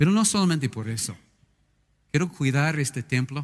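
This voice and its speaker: Here a man speaks with lively intonation. His voice is somewhat breathy. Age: 60s. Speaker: pastor. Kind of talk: sermon. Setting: church. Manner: animated.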